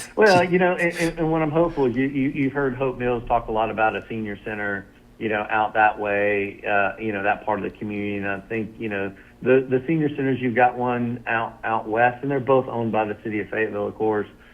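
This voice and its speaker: With hardly any pauses, a man talks at a fairly quick pace. His pitch is medium, with ordinary variation. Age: 50s. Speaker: county commissioner. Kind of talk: radio interview. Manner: halting with repeated filler words.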